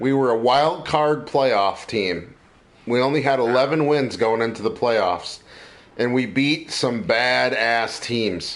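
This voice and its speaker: Amid audible room echo, a man talks at a very slow pace and a medium pitch. His loudness stays very even and his pitch varies an ordinary amount. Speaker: podcast host. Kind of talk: casual chat. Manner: animated.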